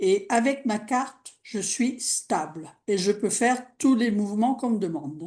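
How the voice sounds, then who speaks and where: Over a quiet background, a woman with a fairly high pitch, a dark, mellow tone and a somewhat breathy voice talks at a fairly slow pace with lively intonation and hardly any pauses. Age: 80s+. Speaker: participant. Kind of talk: testimony.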